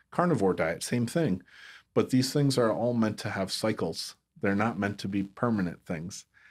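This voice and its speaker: In a very clean recording with a silent background, a man with an ordinary speaking voice talks at a fairly low pitch and a moderate pace, his intonation lively. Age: 40s. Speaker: chiropractor and health tech entrepreneur. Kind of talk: casual interview.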